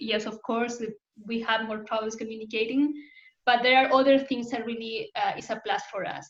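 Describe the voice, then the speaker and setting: A woman talks with a Spanish accent at a fairly quick pace. Her voice is fairly high, with fairly even intonation. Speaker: UX design community host. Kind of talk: online community talk Q&A.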